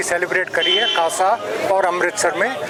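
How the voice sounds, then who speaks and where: A high-pitched man projects a raised voice over noticeable background noise. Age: 70s. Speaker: retired army brigadier and motorcyclist. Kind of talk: interview.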